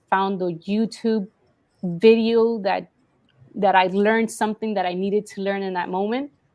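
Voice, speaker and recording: In a Spanish accent, a woman speaks at a medium pitch and a moderate pace with monotone, flat intonation. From Colombia, Cali. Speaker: marketing business owner. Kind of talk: interview.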